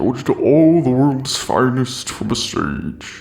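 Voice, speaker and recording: Over clear background music, a man at a medium pitch performs a put-on character voice. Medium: machinima. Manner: formal, courteous.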